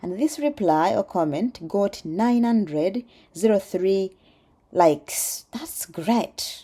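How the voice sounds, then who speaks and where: With a Ugandan accent, a woman speaks very slowly at a medium pitch in a dark, mellow tone. Her pitch swings very widely, and the recording is very clean, with a silent background. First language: Luganda. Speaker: PhD student and vlogger. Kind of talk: casual vlog reading comments. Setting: outdoors cycling. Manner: animated.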